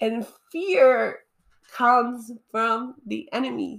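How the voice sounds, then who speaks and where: On a very clean recording with a silent background, a woman speaks at a fairly high pitch with lively intonation. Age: 30s. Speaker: faith podcaster sharing personal testimony. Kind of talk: solo testimony monologue.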